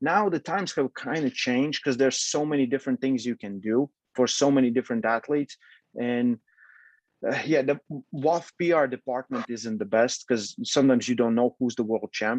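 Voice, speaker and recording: Spoken at a moderate pace with a Latvian accent and ordinary pitch variation, the voice has a dry, close sound with no echo. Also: man. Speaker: arm wrestling coach and federation president. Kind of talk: casual interview. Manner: halting.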